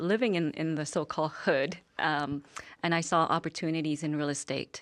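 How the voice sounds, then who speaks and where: Very deep and low in pitch, a woman speaks with a Vietnamese accent. She goes at a fairly slow pace on a very clean recording with a silent background. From Vietnam, raised in Calgary from childhood. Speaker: business owner. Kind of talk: TV interview.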